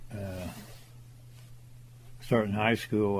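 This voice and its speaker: In an American accent, a man speaks at a fairly slow pace with fairly even intonation, and audible room echo can be heard. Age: 80s+. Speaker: well driller. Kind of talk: interview reminiscence. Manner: halting, frequent fillers.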